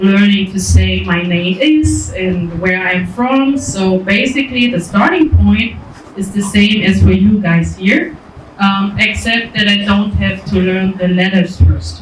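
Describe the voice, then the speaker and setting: Music plays in the background and the room echo is audible. The speech moves at a fairly slow pace. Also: woman. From Germany. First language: German. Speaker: volunteer teacher. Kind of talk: casual discussion.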